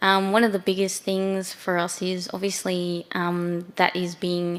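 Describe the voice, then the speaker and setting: She speaks in an Australian accent at a medium pitch for a woman. Her intonation is fairly even. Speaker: council urban designer. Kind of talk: panel discussion.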